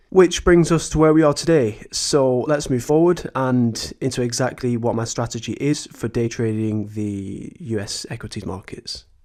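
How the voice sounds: A man's slightly mellow voice at a medium pitch and moderate pace, with few pauses and ordinary pitch variation, on a very clean recording with a silent background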